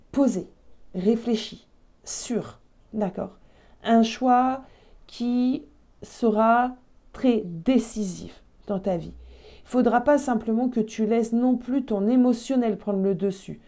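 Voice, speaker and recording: In a very clean recording with a silent background, a woman with a fairly high pitch and a dark, mellow tone speaks very slowly with fairly even intonation, big swings in loudness and long, frequent pauses. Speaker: tarot card reader. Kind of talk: tarot reading video. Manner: halting, frequent hesitations.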